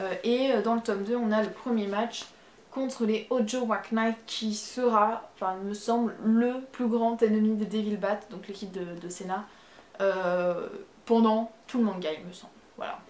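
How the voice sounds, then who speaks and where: With a slight Marseille accent, a woman speaks at a fairly slow pace and a fairly high pitch, with big swings in loudness. Long, frequent pauses break up her speech over noticeable background noise. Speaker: manga YouTuber. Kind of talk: casual video review. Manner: hesitant, many fillers.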